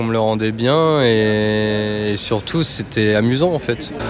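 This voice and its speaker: A man's medium-pitched voice over noticeable background noise. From western France (Île de Ré). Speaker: graphic designer, former cook. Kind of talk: casual interview over a meal. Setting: restaurant.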